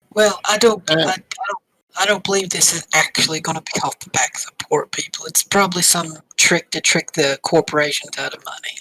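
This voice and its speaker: A raspy, put-on character voice at a middle pitch runs at a moderate pace. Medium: actual play. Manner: businesslike, calculating.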